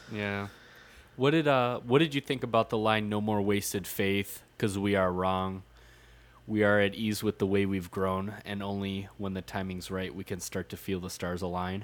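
On a very clean recording with a silent background, a man talks at a moderate pace in a fairly low pitch with ordinary pitch variation. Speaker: podcast co-host. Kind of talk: casual chat. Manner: animated, casual, profane.

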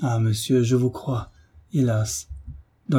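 Fairly even intonation marks the delivery. It is a natural reading voice.

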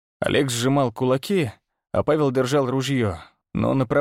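Reading aloud in a natural voice, fairly even in intonation, over a quiet background

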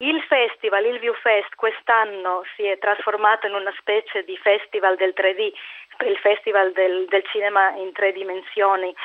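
A woman at a medium pitch and moderate pace, with little pitch movement.

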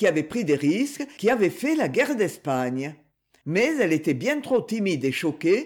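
A quiet background sits behind plain reading aloud.

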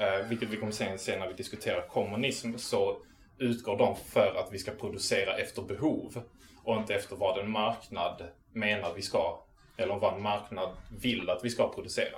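A man at a moderate pace, with audible room echo. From southern Sweden, Malmö area. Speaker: activist lecturer. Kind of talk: lecture. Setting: local venue with live audience. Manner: halting.

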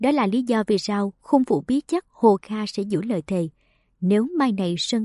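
With a quiet background behind it, the reading voice sounds unforced.

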